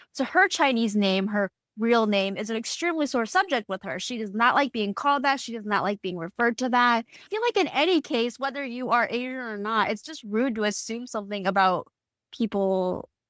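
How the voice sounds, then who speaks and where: Speaking at a fairly quick pace, a woman with a fairly high pitch uses lively intonation and big swings in loudness, recorded dry and close with no echo. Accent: Midwestern US. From Indiana (US Midwest). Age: adult. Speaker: podcast co-host. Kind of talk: casual chat.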